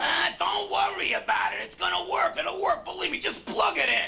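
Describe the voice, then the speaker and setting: A man shouts in a put-on character voice. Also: moderate pace. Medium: comedy sketch.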